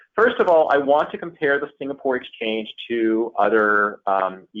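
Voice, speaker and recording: A man's ordinary speaking voice, medium-pitched with an American accent, moderate in pace and lively in intonation. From United States. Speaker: investment advisor. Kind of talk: webinar presentation. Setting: online webinar. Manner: many fillers.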